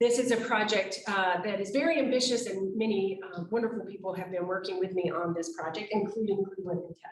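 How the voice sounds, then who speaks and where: A woman with an American accent at a moderate pace, ordinary pitch variation, and audible room echo. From United States. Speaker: artist. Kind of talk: lecture.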